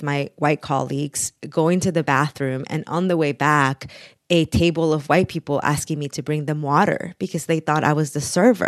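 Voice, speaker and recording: A woman's very deep, low-pitched voice in a Spanish accent at a moderate pace. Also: dry, close sound with no echo, quiet background. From Mexico (Taxco, Guerrero), moved to Texas at eleven. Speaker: author and immigration rights advocate. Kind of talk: interview.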